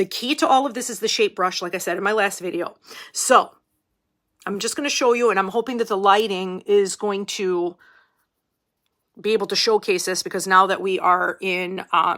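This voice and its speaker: Loud and bright, with a sharp tone, a woman talks at medium pitch and a moderate pace, using ordinary pitch variation and long, frequent pauses. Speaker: esthetician and makeup seller. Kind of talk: makeup tutorial. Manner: conversational, casual.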